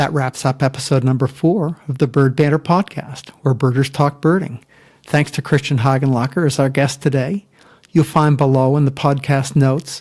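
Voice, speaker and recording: This man's somewhat breathy voice sits fairly high in pitch, with fairly even intonation, very even loudness and a moderate pace. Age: old. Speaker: podcast host. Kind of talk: podcast outro.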